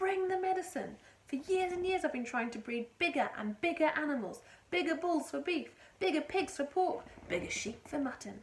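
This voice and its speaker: Using a put-on character voice, a woman speaks at a moderate pace in a high pitch. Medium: read story. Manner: excitable, shouting.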